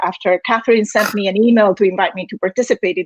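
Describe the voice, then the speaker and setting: In a Galician accent, a woman talks fairly quickly at a fairly high pitch. The sound is dry and close, with no echo. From Spain, Galicia. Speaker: university dean, former Spanish professor. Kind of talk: prepared speech. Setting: virtual event. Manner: formal.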